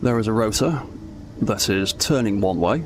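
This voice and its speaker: Noticeable background noise sits under a man speaking at a medium pitch. He has lively intonation and a fairly slow pace. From northern England. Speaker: gaming streamer. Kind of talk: live stream tutorial. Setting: live stream. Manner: casual, hesitant with fillers.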